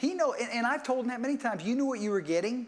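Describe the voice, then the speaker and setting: The man speaks at a high pitch. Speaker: preacher. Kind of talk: sermon.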